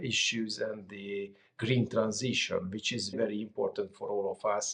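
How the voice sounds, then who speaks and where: This is a man speaking. He has a Hungarian accent. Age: 40s. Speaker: former politician. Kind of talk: interview. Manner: hesitant with fillers.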